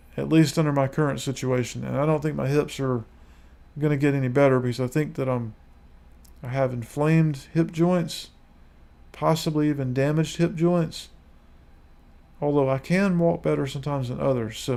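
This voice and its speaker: Speaking fairly quickly in an American accent, a man has a fairly high pitch, a dark, mellow tone and fairly even intonation. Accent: Southern redneck. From US South, Lower Alabama. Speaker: YouTuber. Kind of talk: live stream monologue. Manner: halting.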